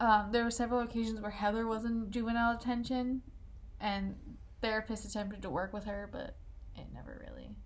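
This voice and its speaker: With audible room echo, a woman speaks at a fairly high pitch and a fairly quick pace in a somewhat breathy, monotone, flat voice that swings widely in loudness. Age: 20s. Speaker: true crime podcast co-host. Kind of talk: casual chat, narrating a crime case.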